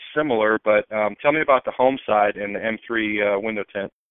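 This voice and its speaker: With an American accent, a man speaks fairly quickly in a normal speaking voice at medium pitch with fairly even intonation. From Tampa, Florida. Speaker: podcast host. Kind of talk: casual interview. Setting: phone call.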